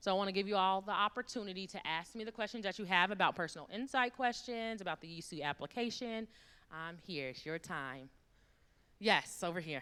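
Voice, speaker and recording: At a fairly quick pace, a woman with a medium-pitched voice and a bright, sharp tone speaks with lively intonation on a very clean recording with a silent background. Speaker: university admissions officer. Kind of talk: workshop presentation. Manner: fast.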